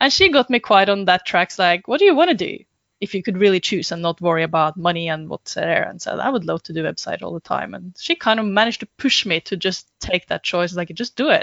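A woman's medium-pitched voice in a Norwegian accent, very fast with hardly any pauses, big swings in loudness and ordinary pitch variation. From Norway. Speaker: web designer and business consultant. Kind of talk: interview.

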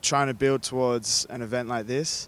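Fairly even intonation carries this man's medium-pitched voice. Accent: Australian. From Australia (Sydney). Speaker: rugby sevens player. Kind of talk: casual interview.

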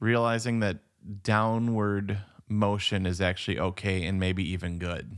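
A man talks in a normal speaking voice, fairly low in pitch. His pace is fairly slow and his intonation fairly even. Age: 40s. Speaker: podcast co-host. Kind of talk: casual chat. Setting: remote recording.

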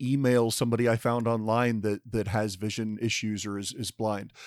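A plain, everyday voice of a man at medium pitch and moderate pace, dry and close with no echo, in a very clean recording with a silent background. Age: 40s. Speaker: podcast host, blind. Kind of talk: roundtable discussion.

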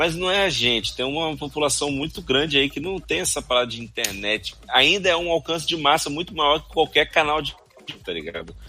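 Noticeable background noise sits under a man's fairly high voice. He speaks fairly quickly, with big swings in loudness. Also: ordinary pitch variation. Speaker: podcast co-host. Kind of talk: casual chat. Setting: live stream studio.

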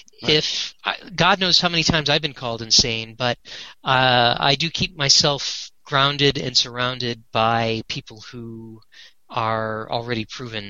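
Here a man speaks in a normal speaking voice. His pitch is medium and his pace fairly slow. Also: ordinary pitch variation. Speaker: Star Trek set collector and fan project founder. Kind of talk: casual interview chat.

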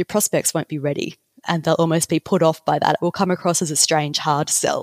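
With an Australian accent and fairly even intonation, a woman is heard in a dry, close sound with no echo. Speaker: copywriter. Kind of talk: interview conversation.

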